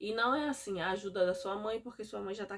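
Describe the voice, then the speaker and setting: Speaking at a moderate pace, a woman with a northeastern Brazilian accent uses a medium pitch. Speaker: mother vlogger. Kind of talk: casual vlog monologue. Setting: home, recorded at night.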